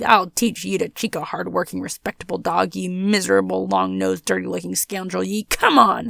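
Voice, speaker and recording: A growling, put-on character voice speaks at a fairly quick pace. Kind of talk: comic storytelling. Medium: read story. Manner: growling, belligerent, blustering.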